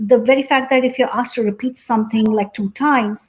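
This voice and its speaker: A woman speaks in a fairly high pitch with a slight Indian accent and fairly even intonation. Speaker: tech company founder. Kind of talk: interview.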